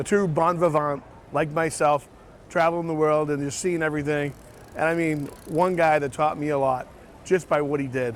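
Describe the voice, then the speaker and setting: A fairly high-pitched man talks at a moderate speed. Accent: American. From Boston, Massachusetts. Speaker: travel vlogger. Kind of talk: casual vlog presenting. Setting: outdoors at street festival. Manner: animated.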